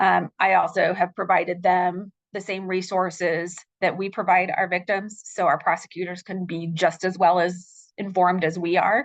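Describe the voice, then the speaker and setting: Against a quiet background, a woman with an American accent speaks in a monotone, flat intonation. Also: moderate pace. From Utah. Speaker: victim services case manager. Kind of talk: presentation. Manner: halting, many fillers. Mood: warm, informative. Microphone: video call.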